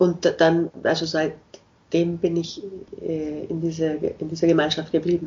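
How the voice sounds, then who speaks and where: In a very slow, somewhat breathy delivery, a woman speaks at a fairly low pitch with monotone, flat intonation. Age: 50s. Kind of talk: interview.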